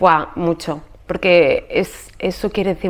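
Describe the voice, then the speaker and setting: A woman with a Spanish accent. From Spain. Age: 40s. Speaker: podcast host and yoga teacher. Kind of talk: casual interview conversation about her life story. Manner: animated.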